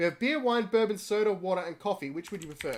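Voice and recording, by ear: The text is read aloud in a natural voice. Ordinary pitch variation runs through it.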